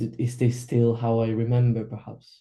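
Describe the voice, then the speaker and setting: A man with a Spanish accent speaks at a moderate pace in a medium-pitched, dark, mellow and somewhat breathy voice. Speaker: workshop participant. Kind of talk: group coaching discussion. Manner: halting, many fillers and repeats.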